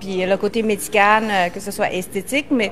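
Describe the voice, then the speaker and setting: A woman with a fairly high pitch keeps her intonation fairly even, and noticeable background noise is heard. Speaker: co-host of online live show. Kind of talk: casual live-stream chat.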